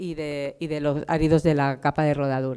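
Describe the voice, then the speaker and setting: A woman speaks. The recording is very clean, with a silent background. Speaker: conference presenter, road engineer. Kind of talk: conference talk. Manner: fast.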